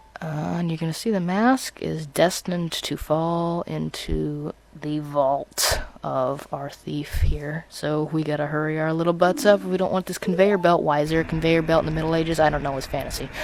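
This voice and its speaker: Noticeable background noise sits behind a man speaking at a moderate pace in a fairly high pitch. His pitch varies in an ordinary way, and he hardly pauses. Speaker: video game let's player. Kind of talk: gameplay commentary. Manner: stutters, mixes up words; off the cuff, rambling.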